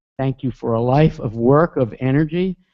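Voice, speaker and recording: At a moderate pace, a man with an American accent talks with very wide pitch swings. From New Jersey, near Newark. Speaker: online course instructor. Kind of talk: live webcast talk to students. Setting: video webcast.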